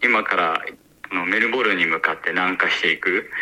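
The speaker is a man going at a moderate pace. Background noise is noticeable. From Japan. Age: young. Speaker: adventurer. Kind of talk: interview. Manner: hesitant with fillers.

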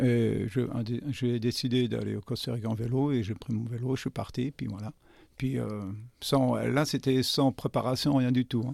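A man talks at a fairly slow pace and a medium pitch, with fairly even intonation. The recording is very clean, with a silent background. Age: 60s. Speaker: restaurant owner. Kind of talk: interview. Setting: studio. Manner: halting.

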